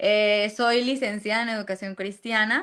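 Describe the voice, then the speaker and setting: In a very clean recording with a silent background, a woman with a Santander Colombian accent speaks at a fairly slow pace in a bright, sharp tone, her fairly high pitch showing ordinary variation. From Venezuela. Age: 20s.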